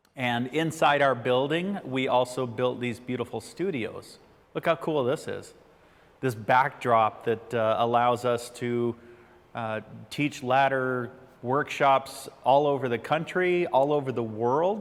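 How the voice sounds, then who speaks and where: A man with an American accent speaks at a fairly slow pace in a medium pitch. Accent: flat American. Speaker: ladder safety workshop presenter. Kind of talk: online workshop presentation. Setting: studio.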